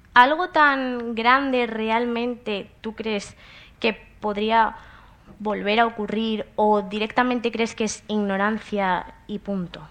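The speech comes at a very slow pace with fairly even intonation. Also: woman, fairly high pitch for a woman. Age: 20s. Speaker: psychology student. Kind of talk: interview questions.

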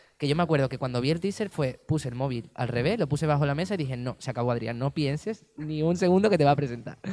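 Speaking at a very fast pace, a man uses a fairly high pitch with a dark, mellow tone and ordinary pitch variation. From Andalusia, Spain (Cádiz province). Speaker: dancer. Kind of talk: interview.

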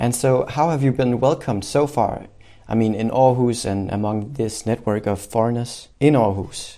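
A man's medium-pitched voice with a Danish accent, ordinary pitch variation and a moderate pace against a quiet background. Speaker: podcast host. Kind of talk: interview.

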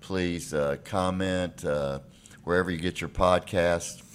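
A man with a Tennessee accent speaks at a very deep, low pitch. His intonation stays fairly even. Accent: Southern US (Tennessee). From Nashville, Tennessee. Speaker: podcast host, real estate lawyer. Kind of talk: casual interview.

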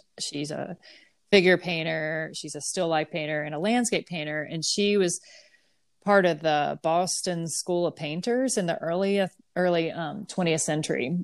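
A woman with an American accent and an unremarkable speaking voice talks at a moderate pace and a fairly low pitch, with ordinary pitch variation, in a very clean recording with a silent background. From US South. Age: 40s. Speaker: painter. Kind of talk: interview.

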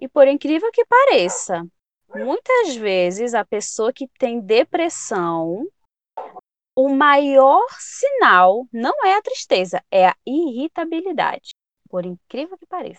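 Very slow speech with very wide pitch swings and big swings in loudness, in a dry, close sound with no echo. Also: woman, high pitch for a woman. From Pará, northern Brazil. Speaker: psychology student. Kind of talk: interview.

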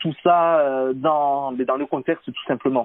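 With fairly even intonation, a man's speech moves along at a fairly slow pace. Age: 30s. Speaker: cycling coach. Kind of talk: interview. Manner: hesitant, many fillers.

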